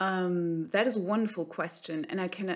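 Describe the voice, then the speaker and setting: On a very clean recording with a silent background, a woman with a German accent speaks at medium pitch and a fairly slow pace. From Germany. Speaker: actor. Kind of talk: interview.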